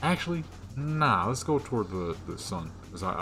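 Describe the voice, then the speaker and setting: With lively intonation and a moderate pace, the speaker is heard against background music. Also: man. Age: 20s. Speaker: gaming youtuber. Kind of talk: casual gameplay commentary. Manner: stuttering when tired; casual slangy rambling.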